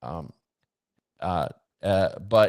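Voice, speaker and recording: Very deep, low male speech, a very clean recording with a silent background. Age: 60s. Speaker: bitcoin mining company founder. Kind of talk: interview.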